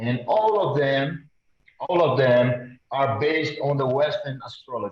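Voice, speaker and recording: A man talks at a fairly slow pace with a Brazilian Portuguese accent. His pitch is fairly high, with ordinary variation. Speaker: audience member asking a question. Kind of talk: question from the audience. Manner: halting.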